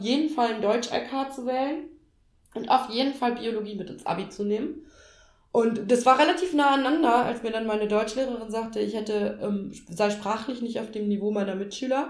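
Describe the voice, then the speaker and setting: The speech moves at a fairly quick pace with ordinary pitch variation and audible room echo. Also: woman. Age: 30s. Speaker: trained teacher on parental leave. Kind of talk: casual chat.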